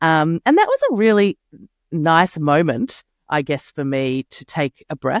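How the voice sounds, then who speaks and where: A woman with an Australian accent talks at a fairly slow pace in a very deep, low pitch. Her intonation is lively, and the sound is dry and close with no echo. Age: middle-aged. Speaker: sustainability consultant. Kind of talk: interview. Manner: halting, many fillers.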